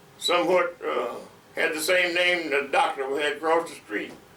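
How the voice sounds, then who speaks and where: A man with a high pitch speaks at a moderate pace with ordinary pitch variation, with audible room echo and noticeable background noise around him. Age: 80s+. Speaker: retired pastor. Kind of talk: oral history interview. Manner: halting, many fillers and repetitions.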